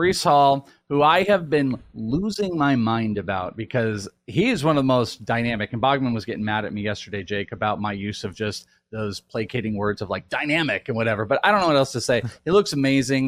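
A man with an unremarkable speaking voice talks fairly quickly at a medium pitch with lively intonation, on a very clean recording with a silent background. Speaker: lead host of fantasy football podcast. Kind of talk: casual sports podcast chat.

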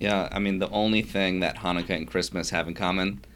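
A man with an American accent speaks at a fairly quick pace in a very deep, low pitch with vocal fry and ordinary pitch variation, on a very clean recording with a silent background. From New York (Yonkers). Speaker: rabbi. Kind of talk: interview.

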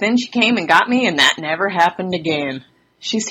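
Lively intonation marks the delivery, which comes in an unforced reading voice.

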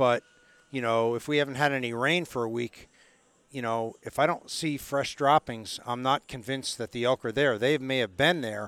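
An unremarkable speaking voice from a man with an American accent, medium pitch, fairly even intonation and moderate pace, dry and close with no echo. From upstate New York, Catskills. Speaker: elk hunting guide. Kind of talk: casual interview.

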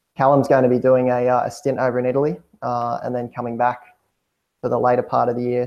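In an Australian accent, a man talks at a very fast pace. His medium-pitched voice stays monotone and flat. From Hunter region, New South Wales, Australia. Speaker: cycling team manager. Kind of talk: interview.

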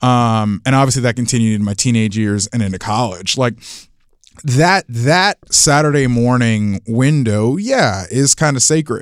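The recording is very clean, with a silent background, and carries a man's plain, everyday voice at medium pitch with an American accent. He talks at a fairly slow pace with lively intonation. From Florida. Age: 20s. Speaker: college football writer. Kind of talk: casual chat.

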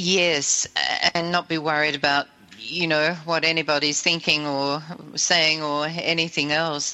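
With an Australian accent, a woman talks at a fairly slow pace in a very deep, low pitch and monotone, flat intonation. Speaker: radio host. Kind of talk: casual chat.

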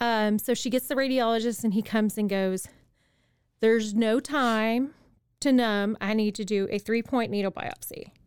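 A plain, everyday voice moves at a moderate pace with fairly even intonation, on a very clean recording with a silent background. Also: woman, fairly high pitch for a woman. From Texas. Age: 40s. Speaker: cancer patient. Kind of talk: testimony. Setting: studio.

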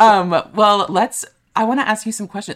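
A woman with an American accent and an animated tone, at a moderate pace. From US Midwest (Kansas, Minnesota). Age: 20s. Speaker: podcast host and musical theater performer. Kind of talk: casual chat.

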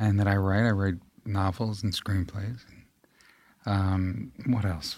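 A man in a New York accent speaks at a very slow pace and a fairly low pitch, with long, frequent pauses, fairly even intonation and big swings in loudness. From New York, Staten Island. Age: 40s. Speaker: actor. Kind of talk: casual chat.

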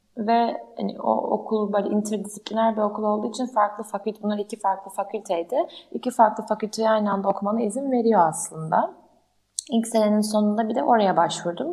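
A woman speaks at a fairly quick pace in a fairly high pitch. Her tone is dark and mellow, with ordinary pitch variation. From Turkey, Ankara. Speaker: startup founder. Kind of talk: interview. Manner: hesitant, many fillers.

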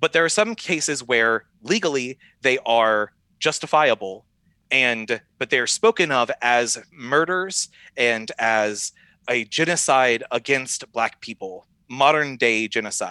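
Speaking fairly slowly, a man with an American accent uses medium pitch and lively intonation in a bright, sharp tone. The sound is dry and close with no echo, over a quiet background. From US South. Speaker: pastor. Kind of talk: podcast interview, explaining ideas.

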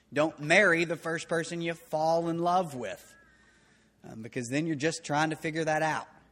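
With a bright, sharp tone and a fairly high pitch, a man speaks at a moderate pace using fairly even intonation. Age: 30s. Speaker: pastor. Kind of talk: sermon. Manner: halting.

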